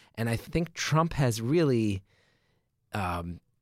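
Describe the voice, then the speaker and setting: On a very clean recording with a silent background, a man with an American accent uses an ordinary speaking voice at medium pitch with lively intonation. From New Jersey. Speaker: comedian. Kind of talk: casual chat.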